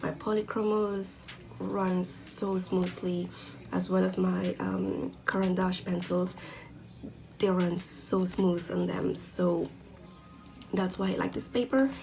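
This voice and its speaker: The speaker has a non-native accent and talks at a very slow pace. Long, frequent pauses break up the speech over music in the background. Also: woman. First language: not English. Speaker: art hobbyist YouTuber. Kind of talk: product review tutorial. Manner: hesitant, many fillers. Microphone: poor quality camera recording.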